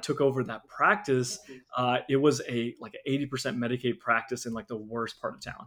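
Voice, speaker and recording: A man talking at a very fast pace, medium in pitch. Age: 30s. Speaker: dentist and practice owner. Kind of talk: interview.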